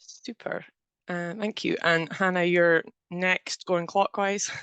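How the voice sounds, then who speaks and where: A woman speaks at a very slow pace with medium pitch and monotone, flat intonation. The sound is dry and close with no echo, and the background is quiet. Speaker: programme manager, webinar host. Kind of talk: webinar presentation. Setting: video call webinar.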